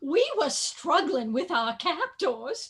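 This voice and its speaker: A put-on character voice, high in pitch and very slow, with very wide pitch swings. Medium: stage play.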